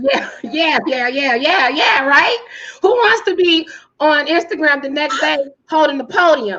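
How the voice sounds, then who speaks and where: A woman with an American accent speaks in a raised, projected voice at a fairly slow pace, her high pitch carried by lively intonation. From Kankakee, Illinois, south of Chicago. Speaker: public speaker and PR strategist. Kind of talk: interview answer. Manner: loud.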